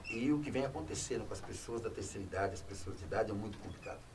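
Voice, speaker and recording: Audible room echo surrounds a man speaking at medium pitch and a very fast pace. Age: 60s. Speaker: former public official. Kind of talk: talk show interview.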